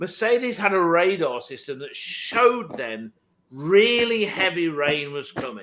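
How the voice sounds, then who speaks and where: An American accent marks this man's animated, high-pitched speech, delivered at a fairly slow pace with very wide pitch swings. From Virginia, US. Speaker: podcast co-host, motorsport enthusiast. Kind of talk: casual chat.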